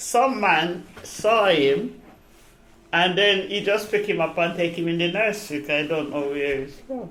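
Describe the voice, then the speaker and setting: Lively intonation comes at a fairly slow pace, with audible room echo. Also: woman, fairly low pitch for a woman. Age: 80s+. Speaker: retired care worker. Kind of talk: oral history interview.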